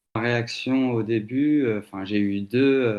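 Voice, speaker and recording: A man with a medium pitch and ordinary pitch variation talks at a very slow pace. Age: 40s. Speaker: teacher, survey respondent. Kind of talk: testimony interview. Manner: hesitant, many fillers.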